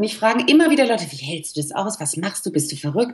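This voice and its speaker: The speaker is a woman. Her voice sounds somewhat breathy. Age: 40s. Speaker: life coach. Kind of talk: interview.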